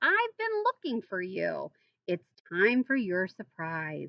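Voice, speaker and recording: A woman speaks in a put-on character voice. Her pace is fairly slow. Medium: read story. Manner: warm, gentle.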